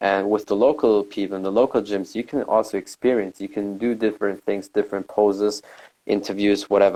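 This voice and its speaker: Speaking fairly quickly in a non-native accent, a man keeps a fairly low pitch, a dark, mellow tone and monotone, flat intonation. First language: not English. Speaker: podcast host. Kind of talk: casual interview chat.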